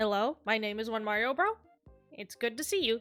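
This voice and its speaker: A female-sounding put-on character voice, fairly high in pitch, moves at a fairly quick pace. Faint music plays in the background. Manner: put-on, exaggerated impression.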